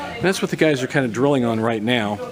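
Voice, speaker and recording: A man talks at a medium pitch, with room echo audible and background noise clearly present. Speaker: judo coach. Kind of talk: live demonstration commentary. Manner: halting.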